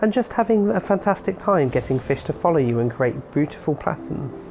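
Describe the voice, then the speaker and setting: Over music in the background, a woman talks at a fairly quick pace. Her pitch is very deep and low, and her intonation is lively. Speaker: game reviewer. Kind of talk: scripted game review narration.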